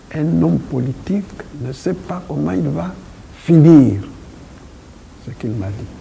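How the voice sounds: A man with a dark, mellow tone and vocal fry talks fairly slowly at a fairly high pitch, his intonation lively.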